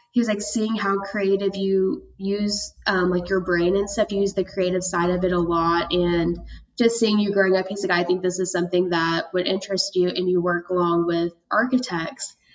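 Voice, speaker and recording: A woman's normal speaking voice with an American accent, medium in pitch, at a moderate pace with hardly any pauses, very even loudness and fairly even intonation. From Oklahoma, Tulsa. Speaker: design student. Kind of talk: interview.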